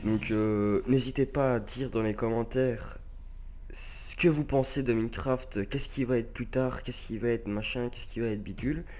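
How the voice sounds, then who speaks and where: A man at a moderate pace, music in the background. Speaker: gaming youtuber. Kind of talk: casual vlog commentary. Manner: stuttering; halting, many hesitations.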